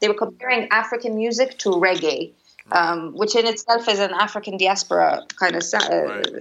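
A woman speaks with an Arabic accent at a moderate pace. Her pitch variation is ordinary. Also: medium pitch for a woman, very even loudness. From Cairo, Egypt. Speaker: singer-songwriter. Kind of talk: casual interview chat. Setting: remote call from home.

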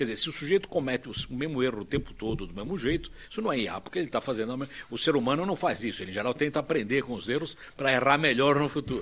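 Lively intonation marks this man's speech. He talks at a very fast pace in a fairly high pitch. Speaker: internet pioneer and executive. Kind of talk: panel discussion.

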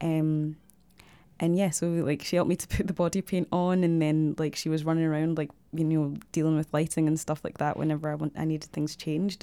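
A woman with a Glaswegian accent talks at a fairly quick pace in a very deep, low voice with a dark, mellow tone. Her intonation is fairly even, and the recording is very clean with a silent background. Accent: Glaswegian Scottish. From Scotland, Glasgow. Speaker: visual artist and photographer. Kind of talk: casual interview. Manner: hesitant, many fillers.

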